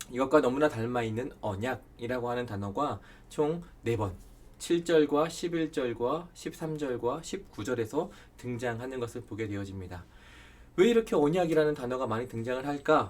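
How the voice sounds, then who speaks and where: At a moderate pace, a man with a normal speaking voice talks at medium pitch with lively intonation. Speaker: Bible study lecturer. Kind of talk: lecture. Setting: recorded online lecture video.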